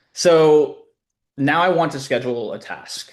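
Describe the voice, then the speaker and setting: A man speaks in a normal speaking voice, using ordinary pitch variation at a moderate pace. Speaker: short-term rental company founder. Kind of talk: live webinar demo.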